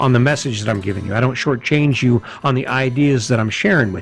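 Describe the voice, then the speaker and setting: With music in the background, a man speaks at a medium pitch with ordinary pitch variation. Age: old. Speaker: podcast host. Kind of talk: motivational monologue. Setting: outdoors. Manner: animated.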